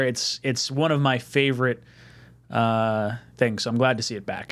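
At a fairly quick clip, a man talks in a medium pitch. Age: 30s. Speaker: sports podcast host. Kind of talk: call-in show. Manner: animated.

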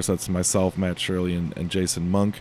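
At a fairly quick pace, a man with an American accent speaks in a dark, mellow tone. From US Midwest, Illinois. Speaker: head brewer and brewery co-founder. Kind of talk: casual interview chat. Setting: brewery space in Chicago.

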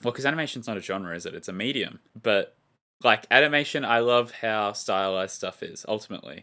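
A man at a medium pitch, bright and sharp in tone, fairly quick, with ordinary pitch variation and big swings in loudness. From Australia. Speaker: film review podcast co-host. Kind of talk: casual chat; scripted narration. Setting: video call.

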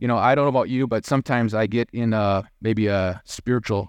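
With a normal speaking voice, a man talks at a fairly quick pace and medium pitch. His intonation is fairly even, and the background is quiet. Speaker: church elder giving sermon. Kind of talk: sermon ending in a fervent, heartfelt prayer to God. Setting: church. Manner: earnest, sincere, warm and reverent; conversational, humble, lightly humorous.

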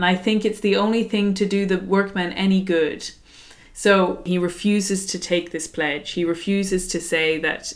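Fairly even intonation marks this reading aloud, done in a natural voice.

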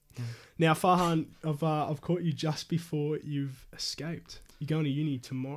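A man with an Australian accent speaks in a fairly high pitch with flat, monotone intonation. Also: moderate pace. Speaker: podcast host. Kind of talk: casual interview.

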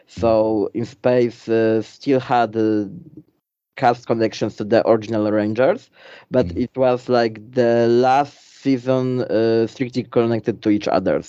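With a Polish accent, a man talks at a fairly slow pace, his medium pitch held to fairly even intonation. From Poland. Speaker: YouTuber. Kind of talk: interview.

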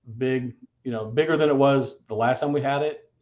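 A man with an American accent speaks at a moderate pace with a fairly high pitch. It is an ordinary speaking voice. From Indiana, US Midwest. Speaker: comic convention organizer. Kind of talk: casual chat.

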